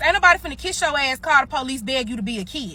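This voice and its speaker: Speaking very fast with a Mississippi accent, a woman uses a raised, projected voice with a bright, sharp, animated tone. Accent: Mississippi, aggressive-sounding. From US South (Mississippi). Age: 20s. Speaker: social media storyteller. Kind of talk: heated rant.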